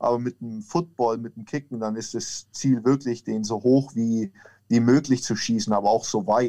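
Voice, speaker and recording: With a Franconian accent, a man speaks at a moderate pace in a medium pitch with a dark, mellow tone. His intonation stays fairly even while his loudness swings a lot, over a quiet background. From Franconia, Germany (near Nuremberg). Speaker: American football kicker. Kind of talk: interview.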